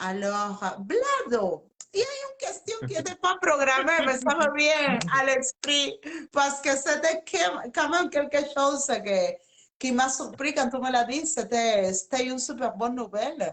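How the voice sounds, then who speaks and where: A woman's high-pitched voice with a Spanish accent, at a very slow pace. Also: lively intonation. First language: Spanish (speaking French). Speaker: interviewer. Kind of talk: live interview. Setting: live video stream.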